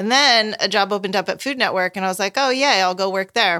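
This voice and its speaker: Speaking at a fairly quick pace, a woman with a bright, sharp tone and a medium pitch shows ordinary pitch variation in a very clean recording with a silent background. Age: 40s. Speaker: home cook and chef. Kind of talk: casual chat. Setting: kitchen, eating together.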